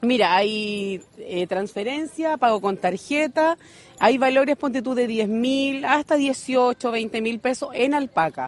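A very slow pace with ordinary pitch variation, dry, close sound with no echo and noticeable background noise. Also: woman, high pitch for a woman. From Chile, Constitución. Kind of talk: interview at market stall. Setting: outdoors at craft fair.

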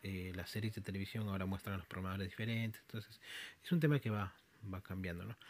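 Speaking at a very fast pace, a man keeps a fairly even intonation at a fairly low pitch. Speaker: podcaster and programmer. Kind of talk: solo monologue podcast. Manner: halting with frequent fillers.

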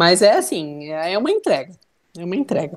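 A woman with a Santa Catarina accent speaks at a moderate pace. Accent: Brusque (Santa Catarina) accent, noticeable. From Brusque, Santa Catarina, Brazil. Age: 30s. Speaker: businesswoman. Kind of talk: casual interview.

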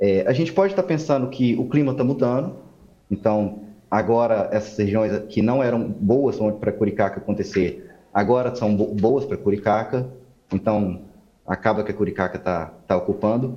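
This man has an unremarkable speaking voice, fairly low in pitch, with ordinary pitch variation and a moderate pace. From Minas Gerais, Belo Horizonte. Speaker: ecologist. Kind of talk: interview.

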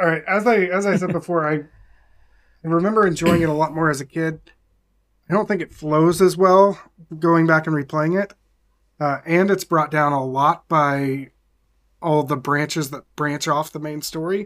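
A man with a fairly high pitch talks at a moderate pace with fairly even intonation, leaving long, frequent pauses. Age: 40s. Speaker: podcast guest, video game fan. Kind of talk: casual chat.

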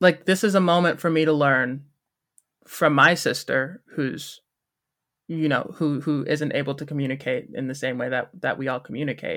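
A man with an American accent, fairly high pitch, ordinary pitch variation and a bright, sharp tone, at a moderate pace, in a very clean recording with a silent background. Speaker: musical theatre student. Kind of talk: interview.

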